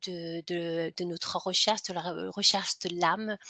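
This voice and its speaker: The voice has a bright, sharp tone and monotone, flat intonation at a fairly slow pace. The sound is dry and close with no echo, over a quiet background. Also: woman. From Denmark. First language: Danish (speaking French). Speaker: hypnotherapist and author. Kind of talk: interview. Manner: halting, many fillers and repetitions.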